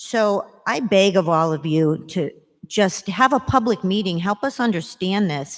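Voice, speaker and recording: A woman with a normal speaking voice and a medium pitch speaks at a fairly slow pace with lively intonation, on a very clean recording with a silent background. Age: 60s. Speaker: resident speaking at public comment. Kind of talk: public comment at council meeting. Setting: city council meeting.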